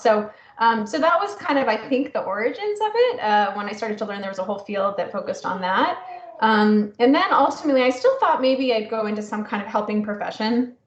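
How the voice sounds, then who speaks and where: Talking at a fairly quick pace, a woman with a fairly high pitch is heard over noticeable background noise. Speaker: prevention scientist. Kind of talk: interview. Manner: loud.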